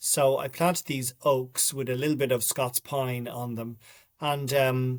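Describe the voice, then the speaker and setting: A man with a Dublin accent speaks fairly slowly at a medium pitch in a monotone, flat tone, on a very clean recording with a silent background. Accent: Dublin Irish. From Ireland, Dublin. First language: Irish. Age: 50s. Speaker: writer and documentary maker. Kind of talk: interview.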